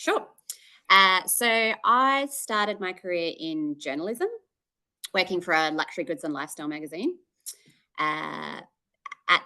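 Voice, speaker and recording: A bright, sharp-toned woman with an Australian accent, lively intonation and a fairly slow pace. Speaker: marketing executive. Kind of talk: interview. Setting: call. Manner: hesitant, many fillers.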